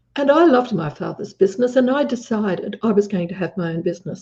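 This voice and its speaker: A very fast pace and lively intonation in an Australian accent, somewhat breathy, with a dark, mellow tone. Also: woman. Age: 70s. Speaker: businesswoman. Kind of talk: interview.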